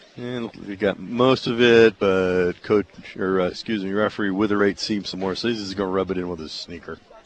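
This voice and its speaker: A man speaks at a fairly quick pace with fairly even intonation and a fairly low pitch, over noticeable background noise. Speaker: radio play-by-play announcer. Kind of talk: live sports commentary, play-by-play of wrestling matches. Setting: radio broadcast from mat side of a wrestling meet.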